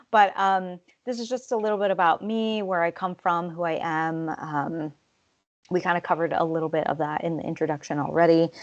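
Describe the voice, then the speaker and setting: Fairly quick speech from a woman with an American accent, with ordinary pitch variation over a quiet background. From Montana, Flathead Indian Reservation. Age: 30s. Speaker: PhD candidate and health equity analyst. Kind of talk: webinar presentation. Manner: halting, many fillers.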